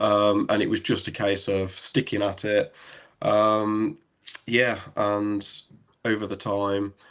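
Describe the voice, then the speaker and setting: Speaking very slowly in an English Midlands accent, a man with a fairly low pitch and a relaxed tone keeps a monotone, flat intonation in a very clean recording with a silent background. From English Midlands, near Birmingham. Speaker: airsoft site owner and photographer. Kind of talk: interview, telling his story. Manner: relaxed, hesitant with many ums.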